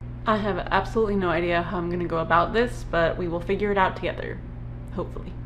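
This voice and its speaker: A woman speaks very quickly, with room echo audible and background noise clearly present. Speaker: booktuber. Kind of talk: casual vlog talk. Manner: many filler ums.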